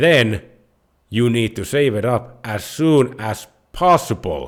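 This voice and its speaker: A man's medium-pitched voice with a Finnish accent, lively intonation and a very slow pace. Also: very clean recording, silent background. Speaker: personal finance YouTuber. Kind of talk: tutorial.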